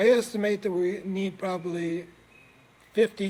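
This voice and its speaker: A man's voice with a high pitch. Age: 70s. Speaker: inventor and entrepreneur. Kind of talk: casual interview conversation. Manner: animated.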